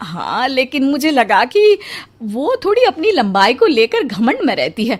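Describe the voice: Using a put-on character voice, a woman speaks high in pitch at a fairly slow pace, with big pitch swings.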